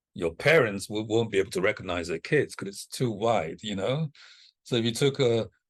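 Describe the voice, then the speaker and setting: Against a quiet background, a man with a normal speaking voice talks at a moderate pace, with a medium pitch and lively intonation. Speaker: communications consultant leading training. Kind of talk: online training orientation.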